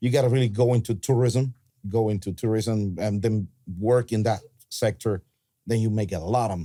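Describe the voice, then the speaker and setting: The speaker has a Cuban accent and a dark, mellow tone. The pace is moderate, with ordinary pitch variation. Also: man. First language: Spanish. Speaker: pastor. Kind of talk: podcast conversation.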